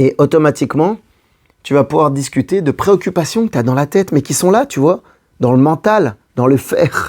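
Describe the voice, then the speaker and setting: A man's fairly high-pitched voice, a normal speaking voice, with lively intonation, a moderate pace and a dry, close sound with no echo. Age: 40s. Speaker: relationship coach. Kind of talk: advice video monologue. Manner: casual, conversational.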